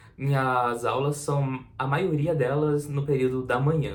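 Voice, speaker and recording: A somewhat breathy man talks with fairly even intonation in a room with audible echo. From Santa Catarina, southern Brazil. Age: 20s. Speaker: university student, vlogger. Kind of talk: casual vlog talk to camera.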